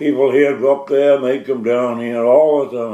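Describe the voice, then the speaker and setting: With a coastal Maine accent, a man speaks at a fairly slow pace in a fairly high voice. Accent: Maine coastal New England. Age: 80s+. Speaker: elderly islander. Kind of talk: oral history interview. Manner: halting.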